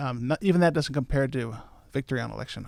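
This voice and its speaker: Speaking very fast, a man with an American accent holds a medium pitch. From New York. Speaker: party chairman and attorney. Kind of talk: interview.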